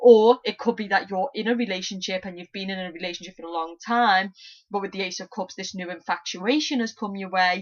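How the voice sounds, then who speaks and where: At a fairly quick pace, a woman speaks at medium pitch. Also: ordinary pitch variation, big swings in loudness. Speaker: tarot reader. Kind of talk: tarot reading monologue. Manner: fast.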